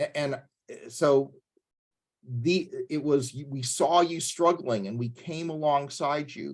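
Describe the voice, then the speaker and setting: An ordinary speaking voice, a man with a fairly high pitch, ordinary pitch variation and a fairly slow pace. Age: 60s. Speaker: pastor leading a church tech workshop. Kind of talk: workshop lecture.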